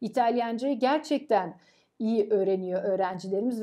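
A woman speaks with a fairly high pitch and a dark, mellow tone, her pitch varying in an ordinary way. The background is quiet. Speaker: professor. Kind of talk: interview. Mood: warm, proud of students. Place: office. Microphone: camera far.

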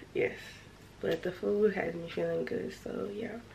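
A woman is speaking, and noticeable background noise is present. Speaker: vlogger. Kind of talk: casual vlog chat. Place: home room. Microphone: phone near.

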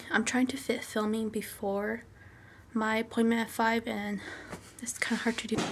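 A woman with a fairly high voice speaks at a moderate pace in an American accent.

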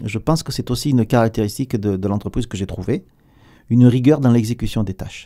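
Speaking very fast, a man uses a dark, mellow tone with ordinary pitch variation. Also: quiet background. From southern France. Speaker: aerospace company executive; guest. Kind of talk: radio interview; interview answer. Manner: hesitant, many repetitions. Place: studio. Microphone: studio mic.

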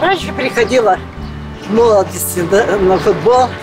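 Clear music plays behind a woman who speaks very slowly. Her pitch varies in an ordinary way. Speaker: blogger, former ship cook. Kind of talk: interview answer. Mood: calm, reminiscing. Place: open country.

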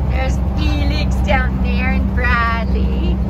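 A woman talks through loud noise in the background. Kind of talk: casual vlog chat. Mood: warm, affectionate, cheerful. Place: car. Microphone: phone near.

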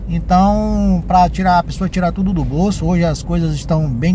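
A man talks at a moderate speed in a room with audible echo and noticeable background noise. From southern Bahia, Brazil. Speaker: travel vlogger. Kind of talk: vlog narration while driving. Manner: animated.

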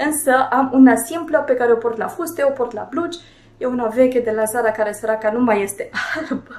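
Room echo is audible as a woman speaks at a fairly quick pace and a high pitch. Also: ordinary pitch variation. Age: 30s. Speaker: fashion and beauty vlogger; beauty vlogger. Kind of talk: casual fashion tutorial to camera. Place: home room.

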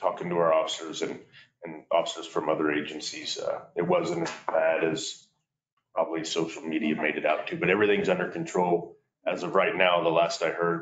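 A man talks at a fairly quick pace. The room echo is audible, with light background noise. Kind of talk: meeting report. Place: meeting room. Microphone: camera far.

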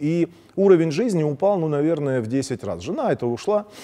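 A man talks at a fairly high pitch with lively intonation. His tone is dark and mellow. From Crimea. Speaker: TV political commentary host. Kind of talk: political commentary monologue. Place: studio.

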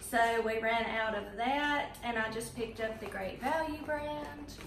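A woman speaks at a fairly high pitch and fairly slow pace with ordinary pitch variation. Audible room echo surrounds her voice.

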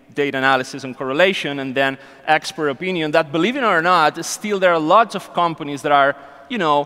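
Speaking at a fairly quick pace, a man with a fairly high pitch uses a bright, sharp tone and ordinary pitch variation.

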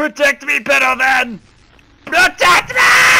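Over noticeable background noise, a man shouts at a fairly slow pace. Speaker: gaming YouTuber. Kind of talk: gameplay commentary, horror game reactions. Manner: animated, excitable, joking.

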